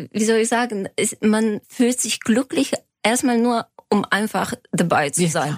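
A woman with a Bulgarian accent speaks at a very slow pace. Her sound is dry and close, with no echo. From Bulgaria, Sofia. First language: Bulgarian (speaking German). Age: 40s. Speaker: lawyer and fashion designer. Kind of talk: interview. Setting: studio.

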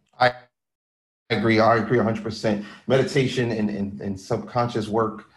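Using a normal speaking voice, a man with an American accent talks at a fairly quick pace in a fairly low pitch. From Philadelphia. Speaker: podcast host. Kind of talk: interview.

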